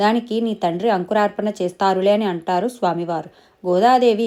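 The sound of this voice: Reading in an unforced voice, the speaker lets the pitch rise and fall by ordinary amounts.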